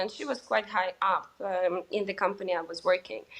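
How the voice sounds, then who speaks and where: Here a woman speaks at a moderate pace. Her intonation stays fairly even. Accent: Russian. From Russia. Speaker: sales executive. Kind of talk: interview. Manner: hesitant, many fillers.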